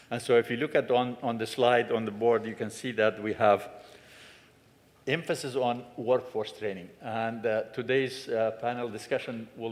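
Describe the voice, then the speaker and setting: A man speaks at medium pitch and a moderate pace. His intonation is flat and monotone. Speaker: director of an education and training center. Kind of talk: symposium welcome address. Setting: symposium room with audience and microphone. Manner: loud.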